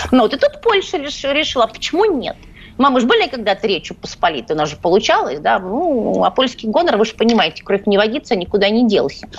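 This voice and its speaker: A woman talks at a fairly quick pace in a fairly high voice, her pitch swinging very widely while her loudness stays very even. Noticeable background noise runs underneath. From Ukraine, Odesa. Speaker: journalist. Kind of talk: radio interview. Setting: studio.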